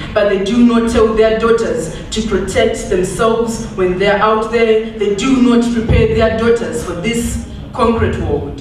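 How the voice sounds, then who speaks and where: A woman talks at a fairly slow pace with a fairly high pitch and hardly any pauses. Her intonation is monotone and flat, and background noise is noticeable. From Zimbabwe. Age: 20s. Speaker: performance poet. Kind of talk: spoken word poetry performance. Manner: powerful, forceful.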